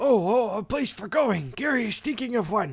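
The voice is a put-on character at fairly high pitch. Its pace is moderate. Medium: game stream. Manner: broken grammar, talks of himself in third person.

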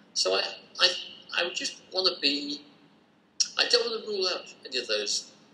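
Light background noise and audible room echo surround a man talking at a fairly quick pace. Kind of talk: interview answer. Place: office. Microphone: video call.

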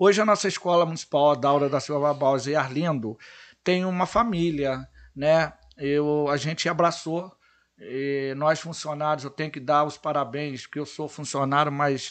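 A man with an ordinary speaking voice talks at a moderate pace in a fairly high pitch, with ordinary pitch variation. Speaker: futsal coach and public servant. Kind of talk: casual chat.

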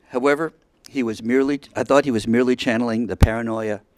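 A male voice moves along at a fairly quick pace, with little but quiet behind it. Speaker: resident giving public comment. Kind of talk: prepared public statement. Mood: earnest, indignant. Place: hall. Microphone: podium.

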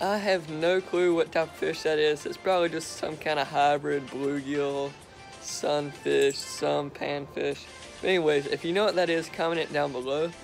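Faint music plays in the background. A man speaks at a moderate pace with fairly even intonation. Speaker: fishing vlogger. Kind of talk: casual vlog chat. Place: garden. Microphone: phone near.

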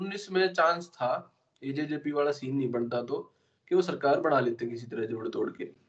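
Over a quiet background, a man with an unremarkable speaking voice talks at a fairly high pitch and a moderate pace. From Haryana. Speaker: podcast host. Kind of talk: interview. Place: home room. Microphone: video call.

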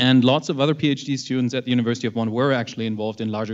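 The man speaks at a medium pitch with fairly even intonation. The background is quiet. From Germany. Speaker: astrophysicist; panelist. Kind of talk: panel presentation. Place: classroom. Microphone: handheld.

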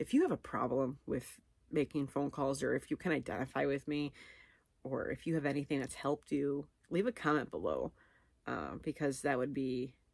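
A woman speaks with a very deep, low pitch, the sound dry with no echo against a quiet background. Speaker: vlogger. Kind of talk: casual vlog chat. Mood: candid, a bit anxious. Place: home room. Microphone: phone near.

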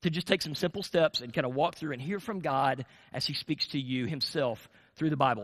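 A man with an American accent in an animated tone at a fairly quick pace, against a quiet background. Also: ordinary pitch variation. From US South. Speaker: pastor. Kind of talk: sermon. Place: church.

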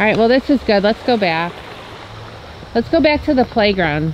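A woman's medium-pitched voice at a moderate pace, dry with no echo, over light background noise. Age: 40s. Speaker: family YouTube vlogger. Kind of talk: casual vlog chat. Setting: outdoors at a playground. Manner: animated. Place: open country. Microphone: phone near.

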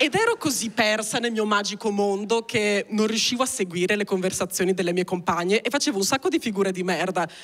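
A woman talking at a very fast pace with ordinary pitch variation against a quiet background. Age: 20s. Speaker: stand-up comedian. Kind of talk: stand-up comedy, autobiographical storytelling; stand-up comedy monologue. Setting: stage with audience. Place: stage. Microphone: handheld.

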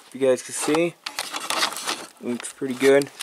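Over noticeable background noise, a man talks with a flat, monotone delivery. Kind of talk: casual vlog chat. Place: garage. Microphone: phone near.

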